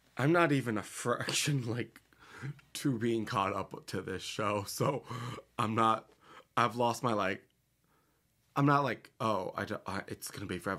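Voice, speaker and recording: A man at a moderate pace with lively intonation and long, frequent pauses, against a quiet background. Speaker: reaction video host. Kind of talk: casual vlog chat. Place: home room.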